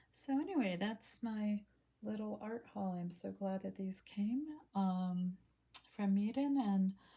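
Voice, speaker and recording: Somewhat breathy, dark and mellow female tone at a fairly slow pace. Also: long, frequent pauses. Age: 60s. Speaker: hobby artist showing art supplies. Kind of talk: casual product haul video. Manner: hesitant, many fillers.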